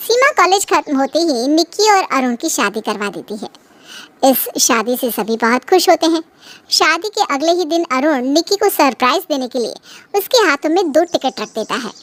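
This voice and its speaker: A woman uses a cartoonish character voice, high-pitched with very wide pitch swings. She talks at a moderate pace, and the sound is dry and close with no echo. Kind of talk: moral story narration.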